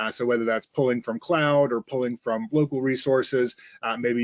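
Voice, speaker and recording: A man with an American accent at a fairly quick pace, his intonation monotone and flat. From Mississippi, US South. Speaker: sales engineer. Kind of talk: webinar presentation. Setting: online webinar. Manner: frequent filler uhs.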